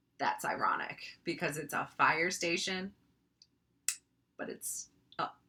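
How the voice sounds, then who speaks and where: A woman whispers fairly slowly, breaking her speech with long, frequent pauses. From North Dakota, Minot. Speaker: online video creator. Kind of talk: casual explainer. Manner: casual, filler-heavy.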